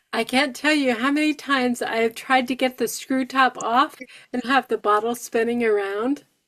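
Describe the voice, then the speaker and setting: In a dry, close sound with no echo, a woman speaks at a moderate pace, her high pitch held in fairly even intonation. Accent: American. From northern New York. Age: 60s. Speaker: stroke survivor and healing coach. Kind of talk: support group talk.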